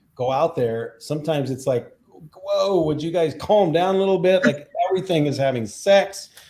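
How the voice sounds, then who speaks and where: A man talks fairly slowly, his dark, mellow tone somewhat breathy. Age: 60s. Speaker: composer and sound healer. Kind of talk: interview.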